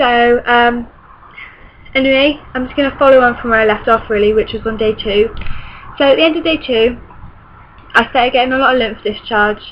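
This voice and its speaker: A high-pitched woman with a British accent, fairly quick pace and fairly even intonation, over noticeable background noise. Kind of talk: casual talk to camera.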